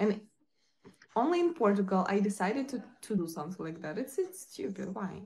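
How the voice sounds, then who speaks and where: Somewhat breathy, a woman talks at a fairly quick pace. Her pitch sits in the middle range and swings very widely. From Ukraine. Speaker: live streamer. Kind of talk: casual live-stream chat with viewers. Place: home room. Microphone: phone near.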